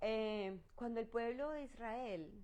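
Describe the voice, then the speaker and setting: Ordinary pitch variation carries an animated tone. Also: woman. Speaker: pastor. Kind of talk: Bible study teaching.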